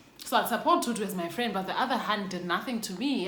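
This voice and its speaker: Speaking at a very fast pace, a woman with a South African accent shows ordinary pitch variation. Audible room echo and noticeable background noise fill the recording. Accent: South African English, Xhosa. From South Africa, Xhosa. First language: Xhosa. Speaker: YouTuber. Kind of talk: storytime. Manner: casual, code-switching.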